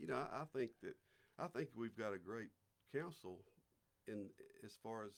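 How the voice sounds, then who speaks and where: A man with an Alabama accent speaks at a fairly quick pace. His pitch is medium. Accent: Southern US (Alabama). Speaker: city councilman. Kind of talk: casual interview. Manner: halting, many repeated words.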